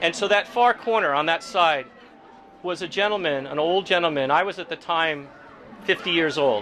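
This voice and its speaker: Crowd noise fills the background as a high-voiced man speaks with lively intonation. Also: moderate pace. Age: 60s. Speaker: Sikh community member sharing oral history. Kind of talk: oral history interview. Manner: halting.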